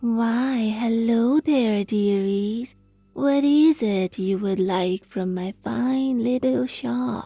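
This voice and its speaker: A woman puts on a sinister character voice with a fairly high pitch, speaking very slowly. Faint music plays in the background. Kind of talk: greeting customers as 'dearies'. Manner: wicked, sinister.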